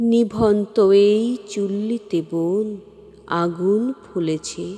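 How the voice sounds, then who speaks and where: A woman speaks in a normal speaking voice, with medium pitch and fairly even intonation. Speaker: poetry reciter. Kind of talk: poetry reading.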